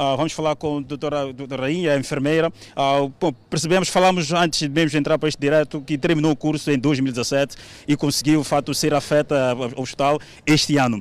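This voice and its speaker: This man has an unremarkable speaking voice and a fairly high pitch. He moves along at a fairly quick pace with fairly even intonation. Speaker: TV reporter. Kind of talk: field report.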